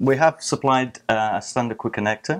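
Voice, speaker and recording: A man at a fairly quick pace with ordinary pitch variation, over a quiet background. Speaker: guest. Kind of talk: interview answer. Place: studio. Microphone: lapel.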